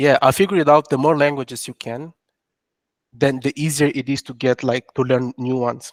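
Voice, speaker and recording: A man with a French accent talks fairly quickly in a fairly high voice, his intonation fairly even. The recording is very clean, with a silent background and a dry, close sound with no echo. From Angola. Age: young. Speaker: entrepreneur. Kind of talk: interview. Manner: halting, many restarts.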